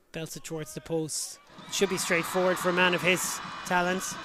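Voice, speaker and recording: An animated, excited tone with noticeable background noise and a dry sound with no echo. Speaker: rugby match commentator. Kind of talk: live sports commentary. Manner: animated, fast-paced play-by-play; excited, punchy, rising at tries and kicks.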